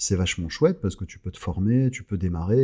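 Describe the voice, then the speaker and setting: A man speaks at a fairly quick pace with a dark, mellow tone, a fairly low pitch, ordinary pitch variation and a somewhat breathy quality, on a very clean recording with a silent background. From southern France (Carcassonne, Clermont-Ferrand). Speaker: radio host. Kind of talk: casual interview chat. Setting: podcast studio, no headphones.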